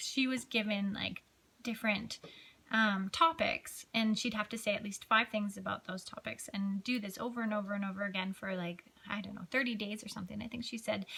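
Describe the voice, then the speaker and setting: A woman's fairly high voice at a moderate pace, with ordinary pitch variation and noticeable background noise. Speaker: personal development vlogger. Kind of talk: unscripted personal video diary. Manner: hesitant, many fillers.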